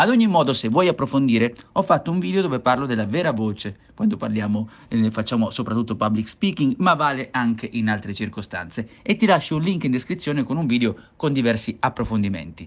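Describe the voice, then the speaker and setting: This man's voice makes very wide pitch swings as he talks at a fairly quick pace. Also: medium pitch for a man. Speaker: voice and public speaking coach. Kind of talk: solo educational podcast monologue.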